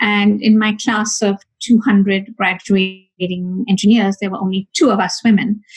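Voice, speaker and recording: Fairly even intonation in a somewhat breathy voice. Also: woman, medium pitch for a woman, moderate pace. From India. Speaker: high tech executive. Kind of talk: interview. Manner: hesitant, many fillers.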